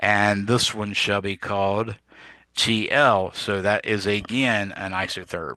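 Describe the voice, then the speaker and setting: Against a quiet background, a man talks at a very slow pace in a fairly low voice that is bright and sharp in tone, his intonation flat and monotone. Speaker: physics teacher. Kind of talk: lecture. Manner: casual with frequent fillers.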